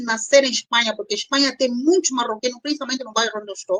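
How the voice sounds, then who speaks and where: A woman with an Angolan accent speaks at a very fast pace. Her high voice has lively intonation. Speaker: doctor and panel guest on immigration grief. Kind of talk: live-stream panel discussion. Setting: online live stream.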